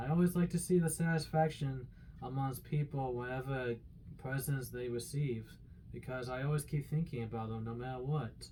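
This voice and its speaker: Somewhat breathy and dark, mellow in tone, a man speaks at a medium pitch. His intonation is fairly even and his pace moderate. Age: 30s. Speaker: shopping cart collector and customer assistant. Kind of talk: audition tape talk to camera.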